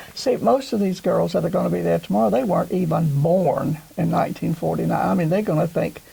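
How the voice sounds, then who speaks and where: A woman with an American accent talks at a very fast pace with hardly any pauses and very even loudness. Noticeable background noise runs underneath. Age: 80s. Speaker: former homecoming queen, interviewee. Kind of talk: interview.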